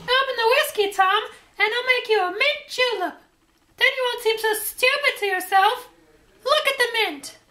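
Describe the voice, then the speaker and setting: A squeaky, put-on character voice at a moderate pace. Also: woman, extremely high pitch for a woman. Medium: short film.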